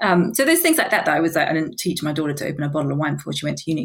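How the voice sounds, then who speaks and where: With a New Zealand accent, a woman speaks at a very deep, low pitch in a somewhat breathy voice. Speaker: business founder. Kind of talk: interview.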